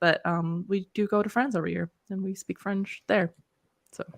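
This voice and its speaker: Talking at a moderate pace with vocal fry, a woman with an American accent comes across dry and close, with no echo. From Netherlands. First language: Dutch. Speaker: co-host of a writing livestream. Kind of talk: casual chat.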